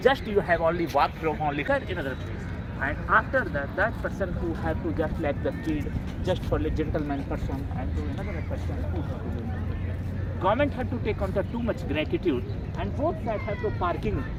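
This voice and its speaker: Audible room echo and noticeable background noise surround the speech. The man keeps a moderate pace. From rural North India. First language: Bhojpuri, Maithili, Magahi, Hindi. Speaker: vlogger. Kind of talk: outdoor vlog tour commentary. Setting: outdoors at a monument. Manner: halting, non-fluent English.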